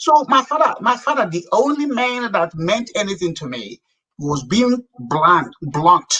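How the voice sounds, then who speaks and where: In a Nigerian accent, a man with a high, bright and sharp voice projects loudly at a fairly slow pace, his animated tone swinging very widely in pitch. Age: 60s. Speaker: businessman. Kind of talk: interview.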